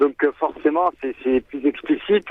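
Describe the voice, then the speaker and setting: A man at a moderate pace. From Marseille, southern France. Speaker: rock band singer. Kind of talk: radio interview. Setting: phone call.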